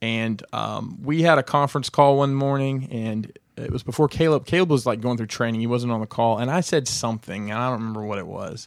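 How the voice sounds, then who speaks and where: Fairly quick and with hardly any pauses, a man talks in an ordinary speaking voice at a medium pitch with ordinary pitch variation. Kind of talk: casual chat.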